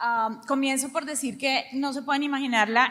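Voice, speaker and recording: Raised and projected, a woman's high-pitched voice has a bright, sharp tone and fairly even intonation. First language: Spanish. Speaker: panel moderator. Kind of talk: moderated panel discussion.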